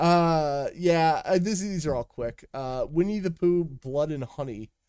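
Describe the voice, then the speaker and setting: Lively intonation marks this man's high pitch and dark, mellow tone. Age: 20s. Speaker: gaming podcast co-host. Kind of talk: casual chat. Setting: live stream.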